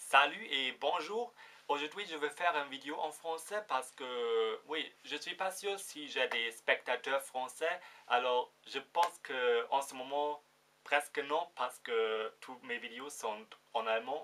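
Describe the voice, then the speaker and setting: Here a man talks at a very slow pace with a fairly high pitch. His intonation is lively. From Germany. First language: German (speaking French). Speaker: vlogger. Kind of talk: casual vlog. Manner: halting, many fillers.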